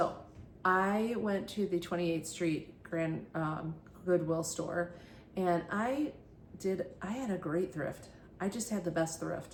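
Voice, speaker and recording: Audible room echo surrounds a woman with a fairly low pitch who speaks very slowly with fairly even intonation. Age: 60s. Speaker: thrift haul vlogger. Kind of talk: casual vlog monologue. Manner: halting, many fillers.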